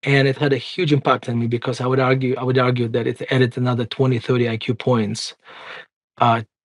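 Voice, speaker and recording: A man's medium-pitched voice with a slight Russian accent, very fast and monotone, against a quiet background. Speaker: investment firm CEO and author. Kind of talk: interview conversation.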